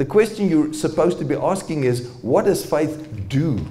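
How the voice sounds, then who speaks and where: The man's pitch swings very widely as he talks. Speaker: presenter. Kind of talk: lecture. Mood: warm, good-humoured. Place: hall. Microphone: handheld.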